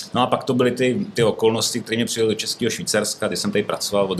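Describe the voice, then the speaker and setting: A man talks with fairly even intonation while noticeable background noise can be heard. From northern Bohemia, Czech Republic (Ústí). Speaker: brewery owner and entrepreneur. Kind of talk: casual interview. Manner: hesitant, many fillers.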